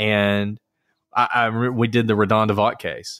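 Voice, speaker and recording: A man with a Southern US accent speaks in a bright, sharp tone, recorded very cleanly against a silent background. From Alabama. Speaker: attorney and podcast host. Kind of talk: casual interview conversation.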